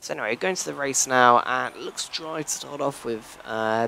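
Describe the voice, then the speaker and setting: With noticeable background noise, a man speaks at a moderate pace using fairly even intonation. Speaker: sim racing video creator. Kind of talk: gameplay commentary. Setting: hotel room. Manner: halting. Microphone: poor quality.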